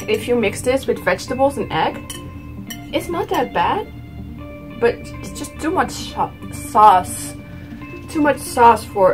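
Over clear music in the background, a woman talks at a fairly slow pace with long, frequent pauses. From Netherlands. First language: Dutch. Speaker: vlogger. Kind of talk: casual talk to camera. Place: home room. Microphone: phone near.

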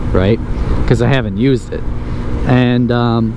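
The man's voice sounds dry with no echo, though background noise is noticeable. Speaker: commuter vlogger. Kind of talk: casual vlog chat. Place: motorbike.

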